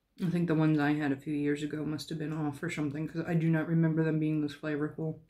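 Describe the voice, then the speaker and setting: In a Midwestern American accent, a woman with a very deep, low pitch speaks at a very fast pace with monotone, flat intonation. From St. Louis, Missouri, USA. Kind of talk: casual talk to camera.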